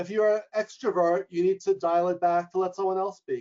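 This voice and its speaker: Speaking with a New York accent, a man talks at a high pitch and a fairly quick pace. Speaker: leadership coach and professor. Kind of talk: webinar interview. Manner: loud; fast.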